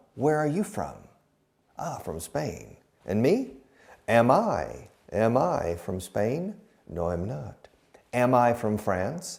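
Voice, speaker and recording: A man with an American accent speaks very slowly at a medium pitch. Audible room echo surrounds his voice. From Texas. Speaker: English teacher. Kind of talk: lecture.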